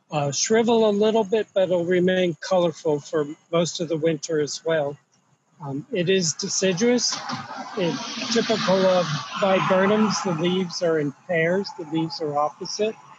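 A man at a moderate pace with ordinary pitch variation, dry sound with no echo, and loud background noise. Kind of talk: tour guide commentary. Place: garden. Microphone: phone near.

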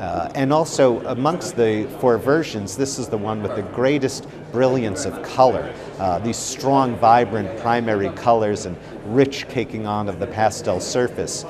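A man at a fairly slow pace, ordinary pitch variation, with noticeable background noise. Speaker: art expert. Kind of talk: interview commentary. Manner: hesitant, filler-heavy. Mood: enthusiastic, admiring. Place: hall.

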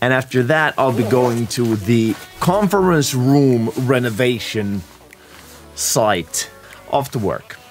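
Over light background noise, a man talks very slowly. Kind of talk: casual vlog chat. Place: workshop.

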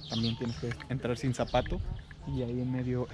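A man with a Mexican accent talks at a fairly quick pace in a monotone, flat delivery. Loud background noise fills the recording. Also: dry sound with no echo. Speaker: travel vlogger. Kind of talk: casual talk to camera. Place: garden. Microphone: phone near.

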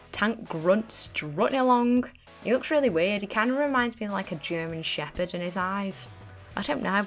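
The speaker has a Northern English accent and lively intonation. Music plays in the background. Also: woman. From Northern England. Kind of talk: comedic video game commentary.

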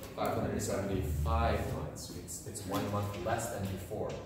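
Strong room echo and noticeable background noise accompany speech delivered at a very slow pace. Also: man. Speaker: high school teacher. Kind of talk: lecture. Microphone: camera far.

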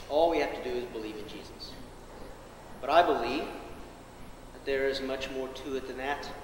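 With an American accent, a man speaks with fairly even intonation and big swings in loudness, over audible room echo and light background noise. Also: moderate pace. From US South. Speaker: pastor. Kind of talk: sermon. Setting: church. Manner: low energy. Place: church. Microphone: camera far.

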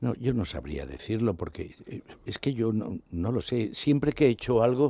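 Lively intonation colors a man's dark, mellow tone. The sound is dry with no echo, over a quiet background. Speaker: veteran actor. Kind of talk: radio interview. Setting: radio studio. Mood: warm, reminiscing, emotional. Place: studio. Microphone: studio mic.

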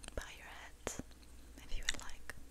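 Whispering in a calm tone, a woman speaks at a fairly slow pace. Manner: whispered, soft-spoken, calm. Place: home room. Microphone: studio mic.

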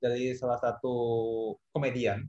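The pace of this man's speech is moderate. A somewhat breathy quality runs through it. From East Java, Indonesia (Kediri). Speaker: esports industry professional. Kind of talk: panel discussion. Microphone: video call.

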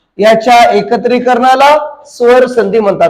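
In a Marathwada accent, a man speaks at an extremely high pitch with ordinary pitch variation. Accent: Marathwada Marathi dialect. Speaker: teacher. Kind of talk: grammar lesson for exam students. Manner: colloquial, folksy.

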